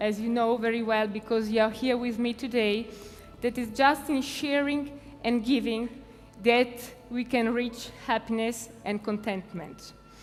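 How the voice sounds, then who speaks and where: With music in the background, a woman in an Italian accent talks fairly slowly at a fairly high pitch with fairly even intonation. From Italy. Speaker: foundation president. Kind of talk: conference talk. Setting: stage with audience. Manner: halting.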